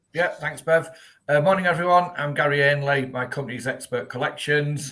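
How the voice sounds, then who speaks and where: Fairly quick speech in a Yorkshire accent, bright and sharp in tone, with fairly even intonation. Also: man, fairly high pitch for a man. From Yorkshire, northern England. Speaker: debt recovery business owner. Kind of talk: live-streamed webinar interview.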